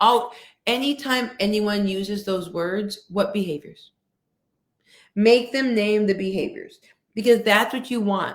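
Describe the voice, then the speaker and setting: Fairly slow speech with ordinary pitch variation and long, frequent pauses. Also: woman, fairly high pitch for a woman. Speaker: workshop speaker on coaching and equity. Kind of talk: interview-style webinar talk.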